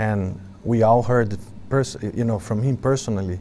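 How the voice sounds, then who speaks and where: A man at medium pitch and moderate pace. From Brazil, Sao Paulo. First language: Portuguese. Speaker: monk and spiritual teacher. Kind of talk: spiritual talk to a gathering. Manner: halting, with fillers.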